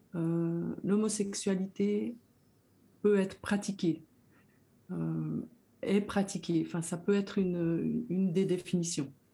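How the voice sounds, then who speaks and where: In a very clean recording with a silent background, a woman with a medium pitch and a dark, mellow, somewhat breathy tone speaks at a very slow pace with fairly even intonation and long, frequent pauses. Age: 60s. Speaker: educator. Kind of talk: personal testimony.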